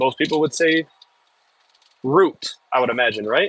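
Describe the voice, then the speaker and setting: A man speaks with a Midwestern accent at a moderate pace. The sound is dry and close, with no echo. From US Midwest, Michigan. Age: 30s. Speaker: excavator operator streamer. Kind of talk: casual live stream chat.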